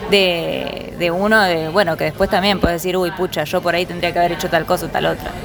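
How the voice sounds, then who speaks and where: Crowd noise fills the background and the room echo is audible as a woman speaks at medium pitch with ordinary pitch variation. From Buenos Aires, Argentina. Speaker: visual artist. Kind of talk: interview. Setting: bar.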